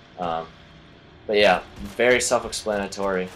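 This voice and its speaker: Monotone, flat intonation at a moderate pace, with noticeable background noise. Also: man. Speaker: gaming YouTuber. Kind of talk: game tutorial commentary. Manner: casual, filler-heavy.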